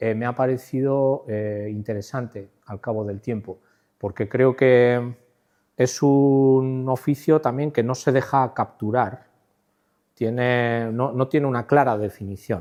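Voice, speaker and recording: The background is quiet as a man speaks at a very slow pace. His voice has a dark, mellow tone. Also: medium pitch for a man, fairly even intonation. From Spain, Navarre (Pamplona), Basque region. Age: 60s. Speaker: art director and designer, lecturer. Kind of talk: conference talk. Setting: stage at a conference. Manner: halting, with many fillers and repetitions.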